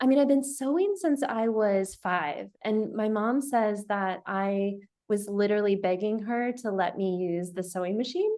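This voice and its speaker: Speaking in an American accent, a woman with a fairly high pitch and a dark, mellow tone goes at a fairly slow pace with hardly any pauses and ordinary pitch variation. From US, Seattle. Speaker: pattern maker, business owner. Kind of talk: casual interview. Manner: hesitant, many fillers.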